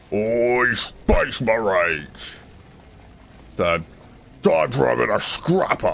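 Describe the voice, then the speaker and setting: Using a gruff, put-on character voice, a man speaks at a medium pitch and a very slow pace. Long, frequent pauses break up his speech over clear background noise. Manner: gruff, aggressive, eager to fight.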